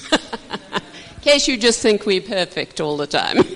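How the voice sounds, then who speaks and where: A woman speaks at a fairly slow pace with very wide pitch swings. Noticeable background noise runs underneath. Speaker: marriage minister. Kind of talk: marriage teaching talk. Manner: animated.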